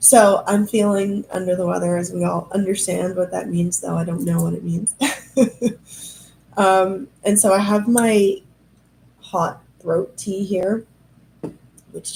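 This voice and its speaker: A woman of medium pitch speaks at a fairly slow pace with long, frequent pauses, her somewhat breathy, dark, mellow tone keeping fairly even intonation. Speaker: human design coach. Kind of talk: live stream Q&A. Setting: live stream. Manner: chatty.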